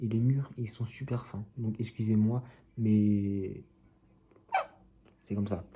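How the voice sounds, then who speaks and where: Soft-spoken and somewhat breathy, a man talks very slowly in a dark, mellow tone with monotone, flat intonation and long, frequent pauses. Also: medium pitch for a man. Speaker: football fan youtuber. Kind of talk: casual vlog commentary.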